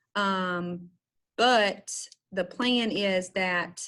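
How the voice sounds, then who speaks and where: A woman speaks at a medium pitch. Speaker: special education trainer. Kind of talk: online training session. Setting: video call.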